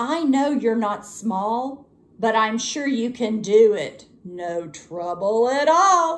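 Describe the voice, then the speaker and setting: A woman's put-on character voice, fairly high in pitch and very slow. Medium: read story. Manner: wheedling.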